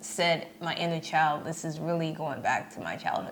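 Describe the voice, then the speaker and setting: Audible room echo carries a woman's voice with an American accent. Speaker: podcast co-host. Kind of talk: casual chat.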